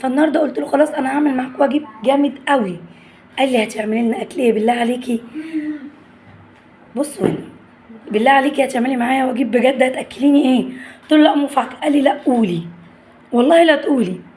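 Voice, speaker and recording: Amid noticeable background noise, a woman with an Egyptian accent speaks in an animated tone at a high pitch with ordinary pitch variation, at a fairly quick pace with long, frequent pauses. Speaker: family vlogger. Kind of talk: casual vlog chat.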